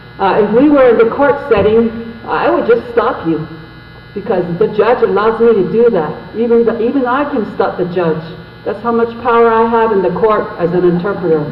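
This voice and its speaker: A high-pitched man at a moderate pace with ordinary pitch variation, with audible room echo and noticeable background noise. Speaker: Navajo interpreter. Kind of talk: public meeting interpreting. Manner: halting.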